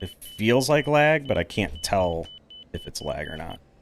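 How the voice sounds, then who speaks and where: Over noticeable background noise, a man with an American accent talks at a fairly slow pace and fairly low pitch, with very wide pitch swings. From Texas. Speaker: flight sim gamer. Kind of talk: gameplay commentary. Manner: casual, thinking aloud.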